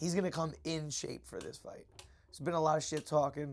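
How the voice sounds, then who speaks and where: Loud speech at a very fast pace. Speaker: martial arts instructor and former MMA fighter. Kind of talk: casual podcast chat.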